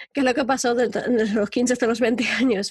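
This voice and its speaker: A woman's fairly high voice at a very fast pace, somewhat breathy, with a dry, close sound and no echo. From Spain. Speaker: life coach and podcaster. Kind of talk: interview.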